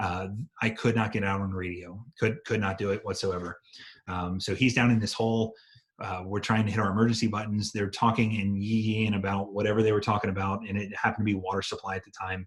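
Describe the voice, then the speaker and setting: In a very clean recording with a silent background, a man with a fairly low, somewhat breathy voice speaks very fast in a monotone, flat delivery with big swings in loudness. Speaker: EMT instructor and firefighter. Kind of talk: lecture.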